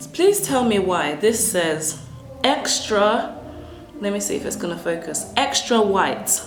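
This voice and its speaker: A woman speaks at medium pitch and a fairly slow pace. Her pitch swings very widely over music in the background. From Africa. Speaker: English teacher. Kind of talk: casual talk to camera.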